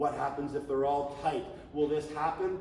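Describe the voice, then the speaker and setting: Delivered at a fairly quick pace with monotone, flat intonation, the speech carries audible room echo and noticeable background noise. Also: man. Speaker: youth flag football coach / clinic presenter. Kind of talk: coaching clinic lecture. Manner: conversational, with fillers and restarts.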